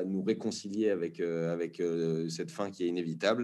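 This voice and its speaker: A man is speaking. His tone is dark and mellow. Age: 30s. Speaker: actor and documentary director. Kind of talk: casual interview. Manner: hesitant, many fillers.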